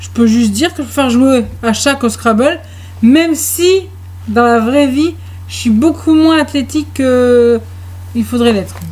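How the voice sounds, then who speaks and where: Noticeable background noise sits behind this speaker. She is a woman who talks at a fairly slow pace. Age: adult. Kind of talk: casual chat.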